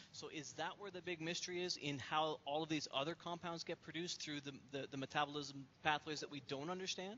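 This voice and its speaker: Using an ordinary speaking voice, a man talks at a fairly quick pace and fairly high pitch with hardly any pauses. His intonation is fairly even, and there is light background noise. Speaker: science education panelist. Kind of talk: panel discussion. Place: office. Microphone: headset.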